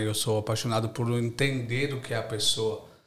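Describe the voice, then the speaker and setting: In a room with audible echo, a man speaks at a fairly slow pace, his medium-pitched voice somewhat breathy, with ordinary pitch variation. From São Paulo city, East Zone, Brazil. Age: 30s. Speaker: university lecturer and entrepreneur. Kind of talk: casual interview chat.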